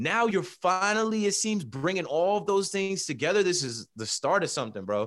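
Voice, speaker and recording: A man with an American accent speaks in a high pitch with very wide pitch swings and hardly any pauses. The recording is very clean, with a silent background. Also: moderate pace. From New Jersey Shore. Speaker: sports podcaster. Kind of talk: casual interview.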